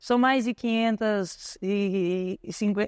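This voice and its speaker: A woman talks in a normal speaking voice at a fairly high pitch with fairly even intonation. The sound is dry and close with no echo, against a quiet background. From Brazil, São Paulo outskirts. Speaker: ultramarathon runner and coach. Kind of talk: podcast interview. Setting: store event with audience.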